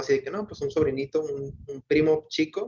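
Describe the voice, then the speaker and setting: A man talks at a fairly slow pace with ordinary pitch variation. His voice is somewhat breathy. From Mexico. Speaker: book club participant. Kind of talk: casual discussion. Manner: hesitant, many fillers.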